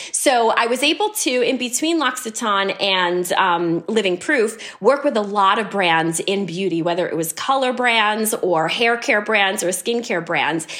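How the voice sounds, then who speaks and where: In an American accent, a woman with an unremarkable speaking voice talks at a fairly slow pace, her fairly high pitch carrying lively intonation. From US, New York City. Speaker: beauty company CEO. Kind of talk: interview.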